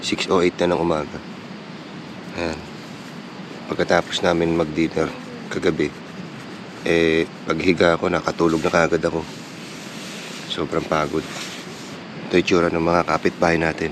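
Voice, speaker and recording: Over noticeable background noise, a man speaks with a very deep, low pitch and monotone, flat intonation. His moderate pace is broken by long, frequent pauses. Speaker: moto vlogger. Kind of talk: vlog narration. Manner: casual.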